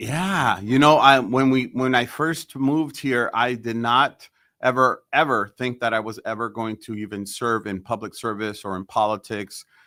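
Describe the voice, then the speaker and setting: Speaking at a moderate pace with hardly any pauses, a man has a bright, sharp tone and ordinary pitch variation. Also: medium pitch for a man, very clean recording, silent background. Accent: Spanish. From El Salvador, raised in South San Francisco. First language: Spanish. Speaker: mayor. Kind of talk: podcast interview. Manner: halting, many fillers and repetitions.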